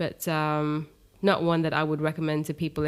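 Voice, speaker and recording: A woman's very deep, low voice with monotone, flat intonation comes through a very clean recording with a silent background. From Dubai, UAE. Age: 30s. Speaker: yoga teacher. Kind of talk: casual interview chat.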